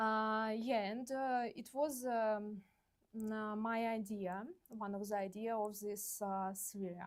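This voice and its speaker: A woman with a Russian accent speaks at a very slow pace and a fairly high pitch, with fairly even intonation. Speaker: visual artist. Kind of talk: artist talk. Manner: halting, many fillers.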